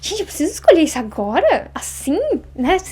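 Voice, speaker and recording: Over noticeable background noise, a woman talks very fast in an extremely high pitch with very wide pitch swings. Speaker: Japanese language teacher. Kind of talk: interview.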